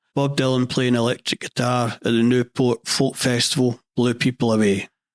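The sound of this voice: A man with a west central Scottish accent and medium pitch speaks at a moderate pace in a deadpan tone. The sound is dry and close, with no echo. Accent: Scottish, west central Scotland.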